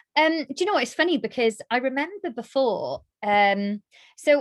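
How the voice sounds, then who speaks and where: A woman speaks in a South Wales accent at a moderate pace. The sound is dry and close, with no echo. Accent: South Wales (Cardiff). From Wales, Cardiff. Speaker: darts presenter and radio DJ. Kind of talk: casual interview chat. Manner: animated.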